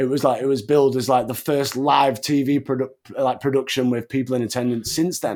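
Speaking with an English accent, a man keeps a fairly quick pace, a medium pitch and fairly even intonation. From England. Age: 30s. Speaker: wrestling podcast host. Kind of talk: casual chat.

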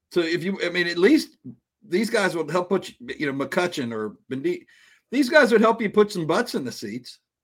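Over a very clean, silent background, a man with a high voice talks at a moderate pace, with very wide pitch swings and big swings in loudness. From Cincinnati, Ohio. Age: 60s. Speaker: baseball podcast commentator. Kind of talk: casual chat. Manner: halting, many repeated words.

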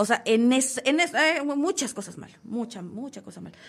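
Her tone is animated as the woman speaks with ordinary pitch variation. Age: 30s. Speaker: podcast host. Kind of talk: casual chat.

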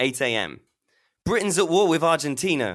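Very fast and full of very wide pitch swings, this man's voice carries vocal fry. The recording is very clean, with a silent background. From Leicester, England. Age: 20s. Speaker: guest storyteller. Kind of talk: storytelling conversation.

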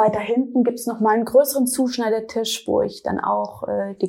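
Here a woman speaks at a moderate pace. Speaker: fashion designer. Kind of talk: interview. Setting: designer's studio.

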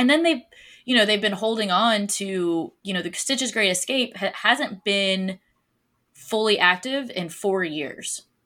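In a very clean recording with a silent background, a woman with an American accent speaks fairly slowly at a medium pitch, her tone bright and sharp and her intonation lively. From Florida. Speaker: podcast host. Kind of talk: casual chat.

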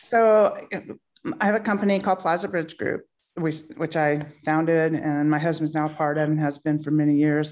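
With an American accent, a woman speaks at a moderate pace in a very deep, low pitch. Her pitch variation is ordinary, and her loudness stays very even. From US South, North Carolina. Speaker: author and entrepreneur. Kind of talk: interview conversation. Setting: video call.

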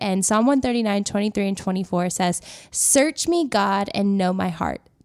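In a very clean recording with a silent background, a woman of medium pitch speaks in an ordinary speaking voice. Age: 20s. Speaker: faith podcast co-host. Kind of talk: casual chat.

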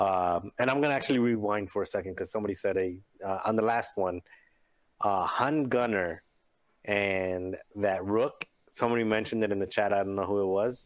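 A man speaks with a normal speaking voice at a fairly low pitch. His pace is fairly quick, with ordinary pitch variation and very even loudness. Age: 40s. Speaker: tabletop game player. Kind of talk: casual chat.

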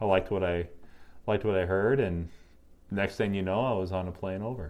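This man has a fairly low pitch and an Upper Peninsula Michigan accent. The background is quiet. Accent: Upper Midwest (Yooper). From Michigan Upper Peninsula. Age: 30s. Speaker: craft brewer. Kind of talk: casual interview. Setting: in person. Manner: halting, frequent repetitions.

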